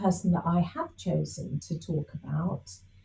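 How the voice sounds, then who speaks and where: Her tone dark and mellow, a woman talks at a fairly slow pace with vocal fry. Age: 60s. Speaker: spiritual teacher. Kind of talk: interview. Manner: hesitant with fillers.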